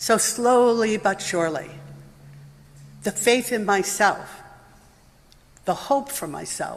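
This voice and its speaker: A woman with ordinary pitch variation speaks fairly slowly, with noticeable background noise around her. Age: 70s. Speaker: congregation member giving personal statement of belief. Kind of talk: testimony.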